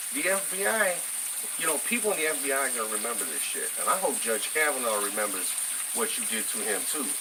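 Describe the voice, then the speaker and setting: A man speaks at a very fast pace and fairly high pitch with very wide pitch swings. Noticeable background noise and audible room echo fill the recording. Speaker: political commentary vlogger. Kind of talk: casual political rant. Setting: home kitchen. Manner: halting, many fillers.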